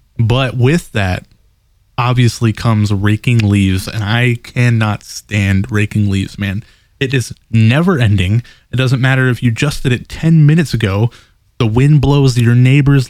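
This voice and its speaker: A man speaks at a moderate pace and medium pitch with ordinary pitch variation, an ordinary speaking voice on a very clean recording with a silent background. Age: 20s. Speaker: podcast co-host. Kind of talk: casual chat.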